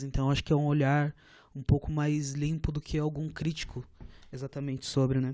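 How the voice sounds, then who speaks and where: A man with a fairly high pitch and a dark, mellow tone speaks at a moderate pace, recorded with a dry, close sound with no echo over a quiet background. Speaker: podcast co-host. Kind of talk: casual chat.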